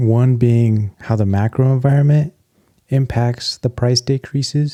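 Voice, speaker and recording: Soft-spoken and fairly slow, a man talks in a dark, mellow tone with fairly even intonation and very even loudness, the sound dry and close with no echo. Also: medium pitch for a man. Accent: American. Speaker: tech and stock commentator. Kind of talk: casual commentary video.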